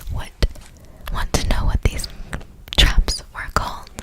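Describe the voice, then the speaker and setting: The speaker is whispering. Noticeable background noise can be heard. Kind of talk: ASMR whispered fun-facts reading. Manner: whispered, soft.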